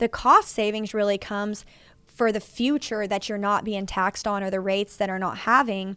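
Over a silent background in a very clean recording, a woman speaks with a fairly high pitch and a Texas accent. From Texas, Fort Worth. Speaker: roofing and solar company owner. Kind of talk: casual chat.

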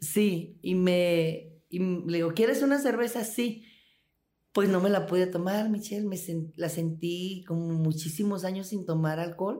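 At a fairly slow pace, a woman with a dark, mellow tone speaks at a medium pitch with ordinary pitch variation, and there is audible room echo. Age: 60s. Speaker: former prisoner. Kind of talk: interview testimony.

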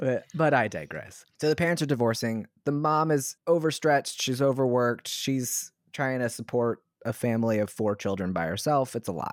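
A man with an American accent, medium pitch and ordinary pitch variation, at a moderate pace, in a very clean recording with a silent background and a dry, close sound with no echo. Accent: slight Southern Maryland, comes out sometimes. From US South, Southern Maryland. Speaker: podcast co-host. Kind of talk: casual chat. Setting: home recording room.

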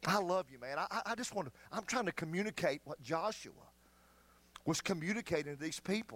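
In a Southern US accent, a man speaks with a high pitch, lively intonation and an animated tone, recorded with a dry, close sound and no echo. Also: fairly quick pace. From US South, North Carolina foothills. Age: 50s. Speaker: pastor. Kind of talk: sermon. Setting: church.

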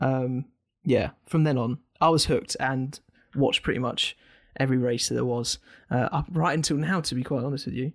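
Captured on a very clean recording with a silent background, the dry, close sound with no echo carries a fairly quick voice in an English accent with fairly even intonation. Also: man, medium pitch for a man. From England. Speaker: podcast host. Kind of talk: casual chat.

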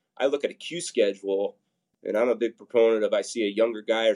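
At a fairly quick pace, a man speaks with a Midwestern American accent. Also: dry, close sound with no echo. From Nebraska, Papillion. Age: 40s. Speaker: fitness group workout leader. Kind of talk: interview.

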